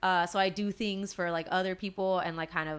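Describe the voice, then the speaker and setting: On a very clean recording with a silent background, a woman speaks at medium pitch in a monotone, flat intonation. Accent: Southern California. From Los Angeles area, US. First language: Spanish. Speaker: illustrator and band singer. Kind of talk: casual interview chat. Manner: casual, many fillers.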